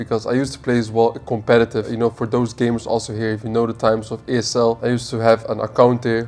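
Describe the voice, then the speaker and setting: Music plays in the background. A man with a medium pitch speaks at a very fast pace. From Netherlands. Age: 20s. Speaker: e-commerce entrepreneur. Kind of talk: casual monologue.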